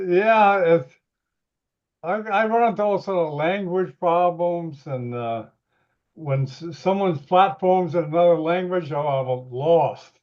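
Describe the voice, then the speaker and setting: Speaking at a very slow pace, a man with an American accent uses a high pitch and ordinary pitch variation. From northern US. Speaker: webinar host. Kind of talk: casual chat.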